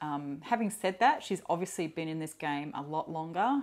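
A relaxed tone with an Australian accent. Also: woman. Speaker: perfume YouTuber; perfume vlogger. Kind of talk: casual solo vlog talk. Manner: relaxed, hesitant with fillers. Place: home room. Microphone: lapel.

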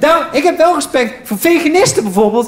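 Very fast speech with very wide pitch swings and audible room echo. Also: man. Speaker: stand-up comedian. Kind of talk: stand-up comedy routine. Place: stage. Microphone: handheld.

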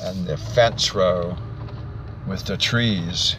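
A man speaks at a very slow pace and a fairly low pitch. The sound is dry with no echo, and there is noticeable background noise. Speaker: auctioneer. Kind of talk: real estate property tour narration. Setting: outdoors, narrating while driving. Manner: slow, hesitant, with frequent filler words. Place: car. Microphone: phone near.

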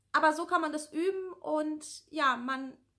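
A woman projects her voice, raising it loud. Her tone is bright and sharp, her intonation fairly even. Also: quiet background. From northern Germany (Lower Saxony, near Hannover). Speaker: YouTuber with anxiety disorder; YouTuber answering viewer questions. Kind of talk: casual Q&A vlog. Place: home room. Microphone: phone near.

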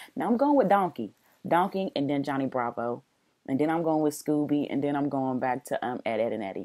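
In a very deep, low voice, a woman talks fairly quickly with lively intonation. The background is quiet. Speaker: reaction video host. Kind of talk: casual vlog chat. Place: home room. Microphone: earbuds.

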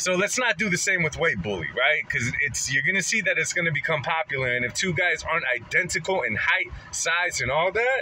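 Lively and bright with a sharp tone, a man at a fairly high pitch talks at a fairly quick pace with few pauses over faint background noise.

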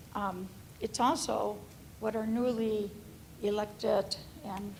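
Fairly high pitch and fairly even intonation from a woman speaker. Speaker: family physician, public commenter. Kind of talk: public comment at school board meeting.

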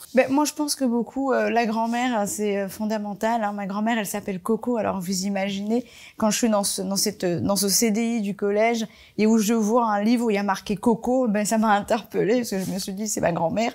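Against a quiet background, the speech moves at a fairly quick pace. The intonation is fairly even. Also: woman. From Marseille, France (born in Comoros); France. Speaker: fashion designer; interviewee. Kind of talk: panel talk. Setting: library event with audience.

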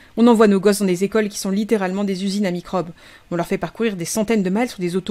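The voice reads in a natural way. Its intonation is fairly even throughout.

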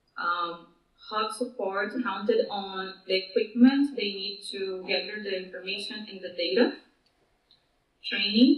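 Against a quiet background with audible room echo, a woman speaks at a medium pitch and a fairly slow pace, with ordinary pitch variation. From Brazil. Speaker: project manager at a mapping nonprofit; panelist. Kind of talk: conference presentation. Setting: video call. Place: meeting room.

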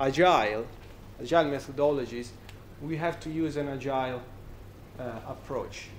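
In an Italian accent, a man speaks at a moderate pace with a fairly high pitch and ordinary pitch variation, with light background noise behind him. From Italy. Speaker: software company representative; conference speaker. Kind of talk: conference talk. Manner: halting. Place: bar.

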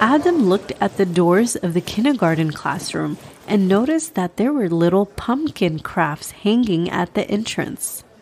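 The tone is warm, with lively intonation. The pace is moderate. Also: woman, medium pitch for a woman. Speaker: children's podcast host and storyteller. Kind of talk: scripted story narration for kids; podcast intro. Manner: warm storytelling voice.

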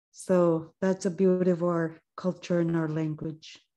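A woman speaks very slowly in a dark, mellow tone. The background is quiet. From Nunavut, Canadian Arctic. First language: Inuktitut. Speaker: actress and filmmaker; actress. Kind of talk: panel discussion. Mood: earnest, heartfelt. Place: home room. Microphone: video call.

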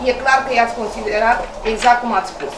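A woman speaks at a fairly quick pace, with audible room echo and light background noise. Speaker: council meeting official. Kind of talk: council meeting rebuttal. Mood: reproachful, argumentative. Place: meeting room.

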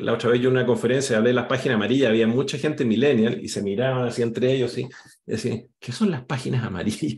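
A man's somewhat breathy voice at medium pitch, rattling along at a very fast pace. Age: 50s. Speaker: career coach and company founder; career coach. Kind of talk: online workshop presentation. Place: home room. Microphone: webcam.

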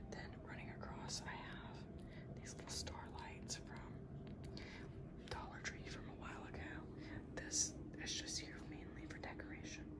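A woman talks with long, frequent pauses against loud background noise. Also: moderate pace. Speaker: ASMR creator. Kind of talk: casual ASMR room tour talk. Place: home room. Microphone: handheld.

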